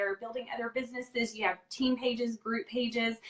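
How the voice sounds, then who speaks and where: A woman speaks in a high pitch. She has a Texas accent. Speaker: live interview host. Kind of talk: casual live-stream interview. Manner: many filler ums.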